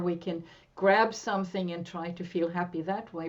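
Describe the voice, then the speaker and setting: The voice carries a Norwegian accent and moves at a moderate pace with monotone, flat intonation. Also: woman. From western Norway. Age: 60s. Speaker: therapist and coach. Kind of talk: interview.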